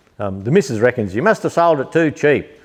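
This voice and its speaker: A man with an Australian accent, relaxed in tone, with lively intonation at a fairly quick pace. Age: 60s. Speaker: tractor restorer and parts seller. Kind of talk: casual chat. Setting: workshop shed. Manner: relaxed, hesitant with many ums.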